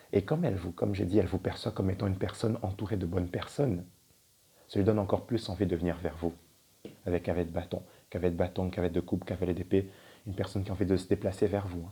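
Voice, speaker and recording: Somewhat breathy and fairly even in intonation, a man talks at a very fast pace broken by long, frequent pauses. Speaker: tarot card reader. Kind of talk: tarot reading. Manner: casual, hesitant.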